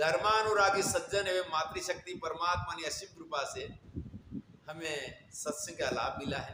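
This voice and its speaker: A man with a high pitch speaks in a fairly even intonation against noticeable background noise. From India, Gujarat (Banaskantha). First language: Gujarati (speaking Hindi). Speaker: spiritual preacher. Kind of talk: religious discourse (satsang).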